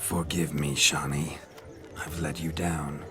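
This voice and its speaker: Over clear music in the background, a man puts on a character voice and speaks at a fairly slow pace. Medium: short film. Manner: boastful, flamboyant, theatrical.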